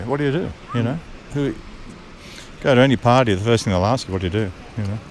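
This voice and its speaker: A man talks with an Australian accent. Noticeable background noise runs through the recording. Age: 70s. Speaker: retired barrister. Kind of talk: interview answer. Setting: outdoors. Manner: laid-back, good-humoured.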